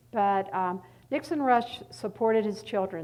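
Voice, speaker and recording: The speaker has a slight Southern US accent. The pace is fairly slow. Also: woman. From North Carolina, US South. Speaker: art historian and author. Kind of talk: lecture. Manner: halting, many fillers.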